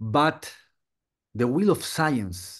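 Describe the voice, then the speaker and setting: A medium-pitched man at a very slow pace, very wide pitch swings, quiet background. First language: Spanish. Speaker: conference speaker. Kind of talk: conference talk. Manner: halting, many fillers.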